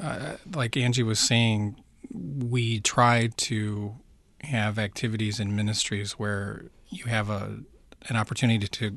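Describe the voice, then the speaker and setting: A plain, everyday voice with an American accent comes through over a quiet background. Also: man. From US, Baltimore. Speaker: missionary pastor. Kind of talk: interview. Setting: studio.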